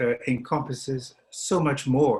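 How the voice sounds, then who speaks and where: Somewhat breathy, a man talks with an American accent. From Scotland. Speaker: opera talk participant. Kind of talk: panel discussion.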